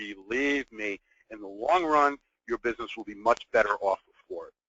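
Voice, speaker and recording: This man, with a New York accent, speaks at a fairly high pitch. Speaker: business continuity consultant. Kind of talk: webinar presentation.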